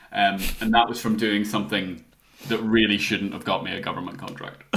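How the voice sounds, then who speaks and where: With audible room echo and noticeable background noise, a man speaks fairly quickly at a fairly low pitch in a monotone, flat intonation, his loudness swinging widely. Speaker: freelance graphic designer. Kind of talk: podcast interview. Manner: hesitant, many fillers.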